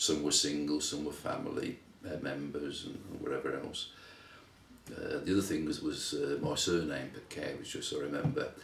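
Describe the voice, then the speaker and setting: There is audible room echo and noticeable background noise as a man with a West Midlands accent speaks at a moderate pace. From England, Wolverhampton (West Midlands). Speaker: interviewee, son of Lithuanian immigrants. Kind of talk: interview, life story. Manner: halting, many fillers and repeats.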